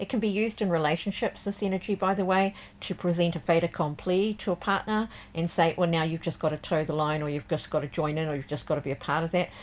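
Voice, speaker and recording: Her voice fairly low and her pitch moving normally, the woman speaks very fast. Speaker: tarot reader and deck creator. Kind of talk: tarot forecast reading. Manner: casual, with frequent fillers.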